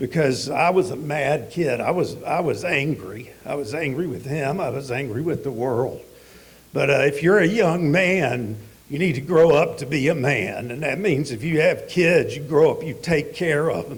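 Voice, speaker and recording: A man with a Southern US accent, fairly high pitch and ordinary pitch variation, moderate pace, audible room echo. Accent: Southern US (Georgia). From US South, Georgia (Atlanta area). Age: 60s. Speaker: recovering addict speaker. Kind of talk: testimony.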